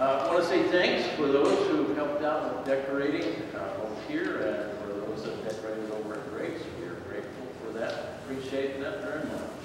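A man at a moderate pace with hardly any pauses, in strong room echo and noticeable background noise. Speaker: pastor leading a service. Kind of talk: announcements then spoken prayer. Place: church.

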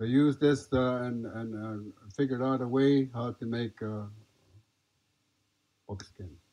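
A man with a dark, mellow tone talks at a fairly slow pace, with fairly even intonation and long, frequent pauses against a quiet background. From Nez Perce. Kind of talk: talk to an audience. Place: tent.

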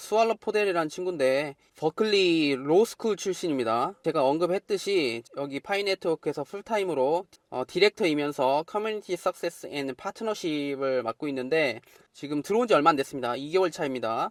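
An unremarkable speaking voice at a moderate pace. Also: man, fairly high pitch for a man, lively intonation, dry, close sound with no echo. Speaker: crypto YouTuber. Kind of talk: monologue video update.

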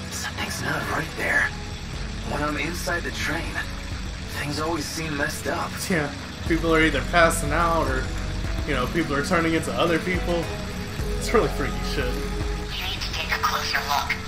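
A man with long, frequent pauses over loud music in the background. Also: moderate pace. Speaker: game streamer. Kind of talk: casual gameplay commentary. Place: home room. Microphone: headset.

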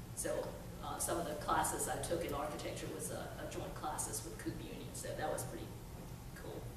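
Spoken at a fairly quick pace, the clip has audible room echo and noticeable background noise. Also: woman. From China, raised from teens in Chattanooga, Tennessee. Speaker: workforce development trainer. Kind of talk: storytelling talk. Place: hall. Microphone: podium.

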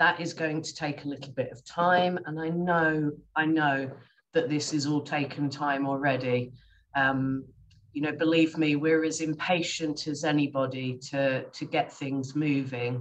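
A woman with an English accent, very deep and low in pitch, monotone and flat, at a fairly slow pace over light background noise. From England. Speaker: specialist nurse; panelist. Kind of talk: presentation and panel answers. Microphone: video call.

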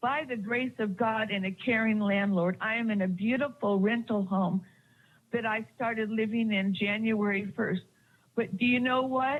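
A woman speaks at a fairly high pitch in a somewhat breathy voice, her loudness very even and her intonation fairly even. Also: moderate pace. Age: 60s. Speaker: public commenter at city council. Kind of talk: public comment testimony. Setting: city council meeting. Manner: impassioned.

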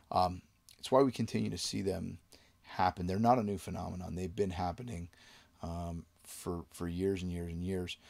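A man's low-pitched voice with vocal fry, a slightly mellow tone, fairly even intonation and a moderate pace.

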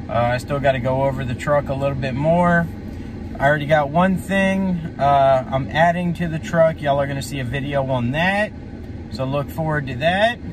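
Against noticeable background noise, a man talks at a moderate pace in a dry sound with no echo. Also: ordinary pitch variation. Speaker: trucker vlogger. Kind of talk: casual vlog chat. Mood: frustrated then relaxed. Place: car.

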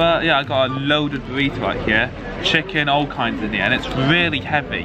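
A man talking at a very fast pace with ordinary pitch variation, over noticeable background noise. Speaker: vlogger. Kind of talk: casual vlog chat. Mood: nervous, excited. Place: street. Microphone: phone near.

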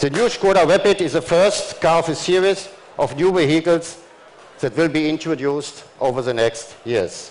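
Noticeable background noise sits behind a man talking at a moderate pace. His pitch is fairly high for a man, with ordinary variation. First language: German. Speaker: car company chief executive. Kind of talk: corporate press conference speech. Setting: stage at auto show press event. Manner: formal.

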